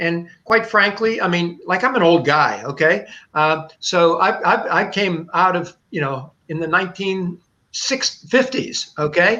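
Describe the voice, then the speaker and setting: A man's raised, projected voice in an American accent, high-pitched, bright and sharp in tone, with lively intonation. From US, Pittsburgh area (western Pennsylvania). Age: 70s. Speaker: retired pastor, justice minister. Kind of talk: interview conversation. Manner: halting, many repetitions and fillers.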